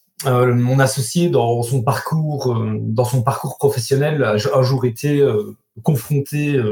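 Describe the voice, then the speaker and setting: In a normal speaking voice, a man talks at a fairly slow pace, medium pitch and with fairly even intonation. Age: 40s. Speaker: carpenter and business owner. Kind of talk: interview.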